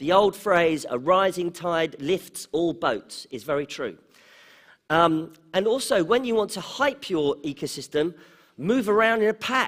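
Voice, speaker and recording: With an English accent, a man with a high-pitched voice reads at a fairly slow pace using lively intonation. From England, London. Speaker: conference speaker on startups. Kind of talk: conference talk. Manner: conversational, with fillers.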